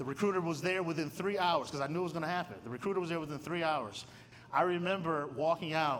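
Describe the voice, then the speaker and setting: Very fast speech from a man with a fairly high pitch and an American accent. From Michigan. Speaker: theology professor and guest speaker. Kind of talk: testimony talk at a luncheon. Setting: luncheon with live audience. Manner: animated, conversational.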